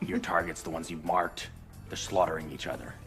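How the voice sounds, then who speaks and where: Clear music plays in the background. Someone rattles off lines at a very fast pace in a put-on character voice. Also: man, very deep, low pitch for a man. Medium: short film. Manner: deadpan, flat.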